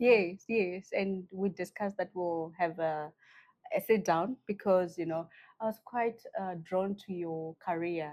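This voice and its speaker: A woman's medium-pitched voice moves fairly slowly and shows ordinary pitch variation. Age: 30s. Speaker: podcast host, career strategist. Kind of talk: interview podcast.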